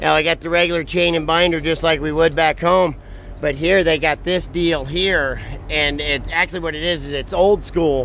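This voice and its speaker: Noticeable background noise behind a man's fairly high-pitched, fairly even intonation. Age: 40s. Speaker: log truck driver and vlogger. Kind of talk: casual vlog talk. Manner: halting, many fillers.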